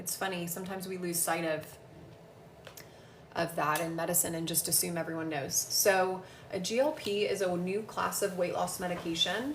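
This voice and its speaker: A woman speaks at a moderate pace with a fairly low pitch and ordinary pitch variation. The room echo is audible, and background noise is noticeable. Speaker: physician assistant answering health questions. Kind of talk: casual live Q&A. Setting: livestream at home. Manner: loud.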